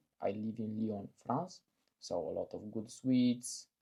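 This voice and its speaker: A man at a very slow pace, medium pitch, fairly even intonation and a dark, mellow tone. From Eastern Europe. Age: 20s. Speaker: vlogger with type 1 diabetes. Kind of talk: casual personal vlog. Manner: humorous, lighthearted.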